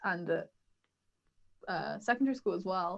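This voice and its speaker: A woman speaks loudly. Her pitch varies in an ordinary way. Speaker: university student, podcast co-host. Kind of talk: casual chat. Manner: loud, talkative.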